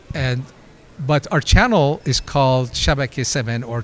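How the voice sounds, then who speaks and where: The man's voice sits at a medium pitch with ordinary variation. He talks at a fairly slow pace. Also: long, frequent pauses. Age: 60s. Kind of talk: interview. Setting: convention interview.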